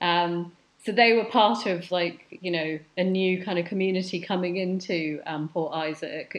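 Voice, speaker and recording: A woman speaks at a moderate pace in a London accent. Her pitch sits fairly low, and her intonation stays fairly even. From West London (Hounslow). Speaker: curator and art educator. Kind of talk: casual interview conversation.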